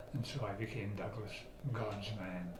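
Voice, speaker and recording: Medium pitch from a man at a moderate pace, over noticeable background noise and with audible room echo. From Scotland, Aberdeen. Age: 80s+. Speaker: author and traveler. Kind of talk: casual interview.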